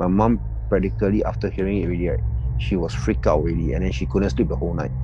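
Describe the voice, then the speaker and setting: A man with a Singaporean accent talks very fast at a very deep, low pitch with very wide pitch swings. Music plays in the background. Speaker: anonymous confessor. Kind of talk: casual storytelling of personal encounters. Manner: casual, chatty.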